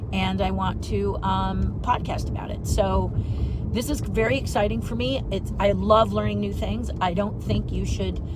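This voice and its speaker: Loud background noise surrounds a woman speaking at a moderate pace, and the sound is dry with no echo. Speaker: illustrator vlogger. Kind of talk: casual vlog chat. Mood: excited, upbeat. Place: car. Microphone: phone near.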